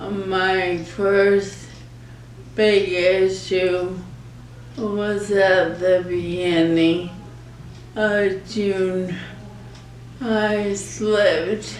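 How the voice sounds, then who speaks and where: A woman speaks at a very slow pace with long, frequent pauses, her medium-pitched voice flat and monotone, over noticeable background noise and audible room echo. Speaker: ALS patient. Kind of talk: interview. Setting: nursing home. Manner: halting.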